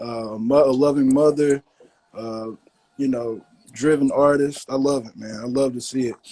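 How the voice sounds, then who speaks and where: With an American accent, a man speaks at a moderate pace in a medium pitch and a dark, mellow tone, his intonation fairly even but his loudness swinging widely. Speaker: podcast host. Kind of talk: casual chat.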